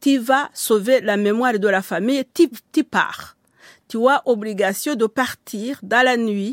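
A woman with a Rwandan accent at a very slow pace, fairly high-pitched with ordinary pitch variation, dry and close with no echo in a very clean recording with a silent background. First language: Kinyarwanda (speaking French). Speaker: writer. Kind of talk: interview. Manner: halting.

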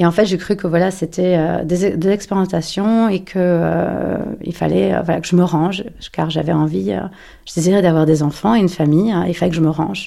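Fairly low in pitch for a woman, her voice keeps a moderate pace and fairly even intonation. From Paris. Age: 40s. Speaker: interviewee sharing personal story. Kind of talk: personal testimony. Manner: halting, many hesitations.

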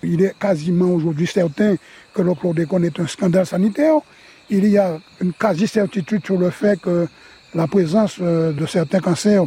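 Here a man speaks at a high pitch and a moderate pace. His pitch varies an ordinary amount. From Guadeloupe. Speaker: banana farmer. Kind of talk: interview.

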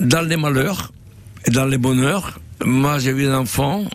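This man talks at a fairly slow pace at a medium pitch, with ordinary pitch variation. Noticeable background noise sits behind him. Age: 70s. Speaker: restaurant owner and chef. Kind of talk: radio interview. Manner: animated.

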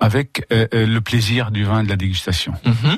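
Speaking with a Lebanese accent, a man talks at a moderate pace and a medium pitch. The sound is dry and close with no echo, with noticeable background noise. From Lebanon. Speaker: winemaker. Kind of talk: radio interview. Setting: radio studio.

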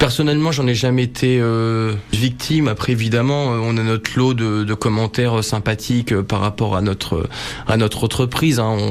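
A man with very even loudness and fairly even intonation amid noticeable background noise. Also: medium pitch for a man, moderate pace. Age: 30s. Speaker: notary. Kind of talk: radio interview. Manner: halting, many repetitions.

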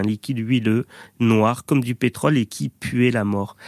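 With a normal speaking voice at medium pitch, a man talks in fairly even intonation, the sound dry and close with no echo on a very clean recording against a silent background. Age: 30s. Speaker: doctor and radio columnist. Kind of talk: radio chronicle.

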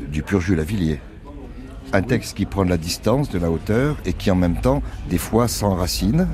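A man speaks at a moderate pace with a very deep, low pitch and very wide pitch swings. Background noise is noticeable. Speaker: commentator on the singer's songs. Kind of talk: casual analysis.

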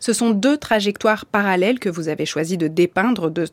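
Using an unremarkable speaking voice, a woman at medium pitch speaks at a moderate pace with lively intonation. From Bulgarian family background. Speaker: radio host. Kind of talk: radio interview.

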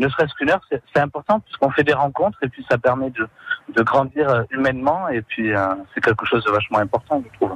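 Over noticeable background noise, the voice moves at a fairly quick pace with ordinary pitch variation and a dry, close sound with no echo. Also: man. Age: 20s. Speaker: charity volunteer. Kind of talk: radio testimony.

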